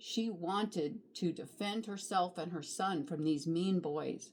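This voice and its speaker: A woman with a normal speaking voice, medium in pitch, talks at a fairly slow pace with ordinary pitch variation. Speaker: grandmotherly storybook reader. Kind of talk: children's picture book read-aloud.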